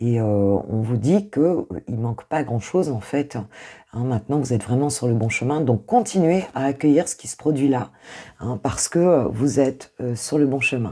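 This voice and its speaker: A woman's very deep, low voice, warm and with a dark, mellow tone, at a fairly slow pace with lively intonation. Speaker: intuitive coach, tarot reader. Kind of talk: tarot reading. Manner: hesitant, many fillers; warm, casual.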